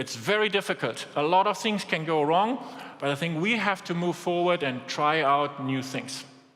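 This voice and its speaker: Someone with a strong German accent talks at a moderate pace over noticeable background noise. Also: man, fairly high pitch for a man, lively intonation. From Germany. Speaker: business executive. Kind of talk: keynote speech.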